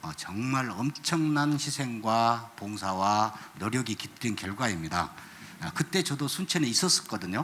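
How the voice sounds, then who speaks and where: Here a man speaks at a medium pitch and a fairly slow pace. His pitch swings very widely. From South Korea, Jeolla region. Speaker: ecology educator. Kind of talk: panel talk at concert.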